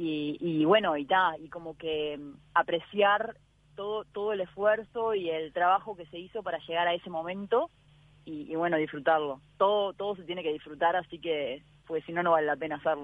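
A woman with a normal speaking voice and a fairly low pitch talks at a moderate pace, showing ordinary pitch variation and big swings in loudness. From Uruguay. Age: 20s. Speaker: ocean rower. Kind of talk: interview.

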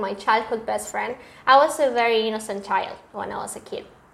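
A woman with a Spanish accent, talking at a fairly quick pace with ordinary pitch variation, over noticeable background noise. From Argentina, Córdoba. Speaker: podcast guest. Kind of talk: casual chat.

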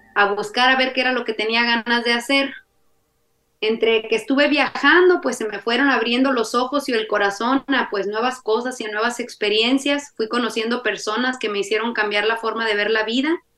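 Speaking at a moderate pace, a woman has an unremarkable speaking voice, fairly high in pitch, with fairly even intonation. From Mexico, Jalisco. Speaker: polyamory podcaster. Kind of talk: interview conversation.

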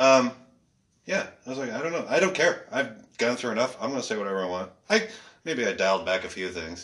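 A man speaks at medium pitch and a very fast pace with very wide pitch swings. Long, frequent pauses break up his speech. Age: 40s. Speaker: stand-up comedian. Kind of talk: casual chat.

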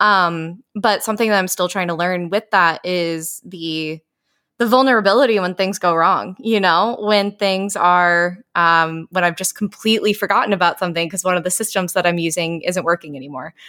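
A woman with an American accent speaks at a medium pitch in a bright, sharp tone with ordinary pitch variation. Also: moderate pace, very clean recording, silent background. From Iowa. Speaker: HR professional. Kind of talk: casual interview chat.

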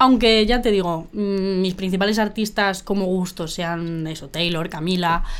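A woman with a Madrid accent, medium pitch and a fairly slow pace. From Madrid, Spain. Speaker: musician. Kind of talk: interview. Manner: casual, slangy.

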